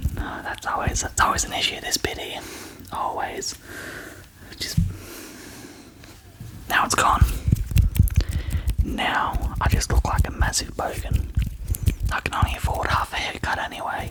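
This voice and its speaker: Amid noticeable background noise, a whisper moves at a moderate speed, broken by long, frequent pauses. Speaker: ASMR creator. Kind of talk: ASMR casual talk to camera.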